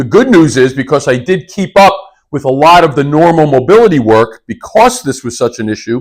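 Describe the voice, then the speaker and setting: The speaker has an unremarkable speaking voice and a fairly quick pace. The intonation is lively. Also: man, fairly high pitch for a man. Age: 60s. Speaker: fitness coach. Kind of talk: video tutorial. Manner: casual, conversational.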